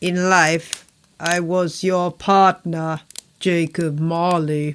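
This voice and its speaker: Using a put-on character voice, a woman talks very slowly in a fairly low pitch with monotone, flat intonation. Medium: read story. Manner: grave, solemn, terse.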